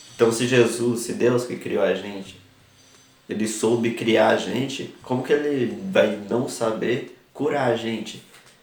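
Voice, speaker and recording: There is noticeable background noise as a man talks at medium pitch. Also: fairly even intonation, fairly slow pace. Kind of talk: religious talk to camera. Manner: halting.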